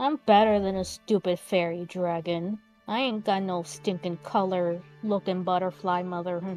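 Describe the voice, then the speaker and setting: A put-on character voice rumbles along at a moderate pace over faint music in the background. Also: female-sounding voice, medium pitch for a woman. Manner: muttering, grumbling.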